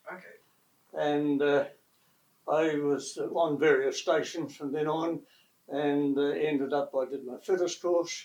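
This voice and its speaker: Long, frequent pauses break up a man's fairly slow speech in a New Zealand accent. His pitch is fairly high, and his intonation is a flat monotone. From New Zealand, West Coast. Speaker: retired air force engine technician. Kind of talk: oral history interview.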